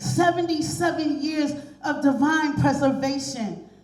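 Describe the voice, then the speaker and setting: A woman's high voice at a fairly slow pace, with noticeable background noise behind it. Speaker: pastor. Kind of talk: spoken word tribute poem.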